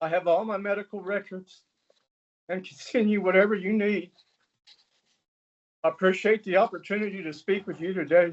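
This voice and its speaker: The speech moves at a fairly quick pace but has long, frequent pauses. Its intonation is monotone and flat. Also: man, high pitch for a man. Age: 60s. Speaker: public commenter, chronic pain patient. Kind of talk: public comment testimony. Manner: formal, prepared statement.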